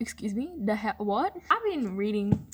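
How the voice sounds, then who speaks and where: Speaking with an Australian accent, a woman has a fairly high, somewhat breathy voice. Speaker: book vlogger. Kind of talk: casual chat. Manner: fast, animated; quiet.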